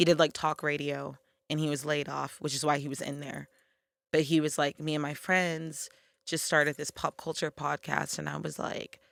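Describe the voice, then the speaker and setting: Very deep, low pitch from a woman, with vocal fry and flat, monotone intonation, in a very clean recording against a silent background. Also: moderate pace, dry, close sound with no echo. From New Orleans, Louisiana. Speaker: podcaster and author. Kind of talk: casual interview chat. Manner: casual, many fillers.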